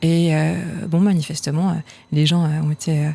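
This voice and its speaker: This woman's voice sits fairly low in pitch. Her intonation stays fairly even. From France (provinces). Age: young. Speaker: actress, singer and film director. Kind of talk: interview. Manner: hesitant, many fillers.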